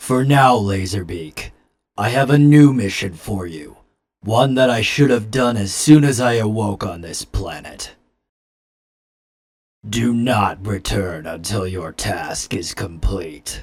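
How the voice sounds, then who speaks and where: Using a cartoonish character voice, a man talks at a fairly low pitch and a fairly slow pace. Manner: flat, deliberate, monotone.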